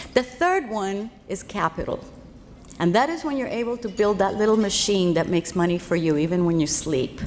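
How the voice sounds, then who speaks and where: With a Spanish accent, a woman at a medium pitch speaks at a moderate pace with lively intonation. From Cuba, then Los Angeles from age fourteen. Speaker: financial speaker. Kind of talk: keynote speech.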